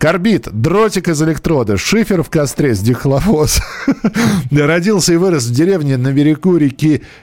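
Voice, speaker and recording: A man talks at a fairly high pitch and a moderate pace. His pitch swings very widely. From Moscow. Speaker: radio host. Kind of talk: live call-in radio show. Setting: studio.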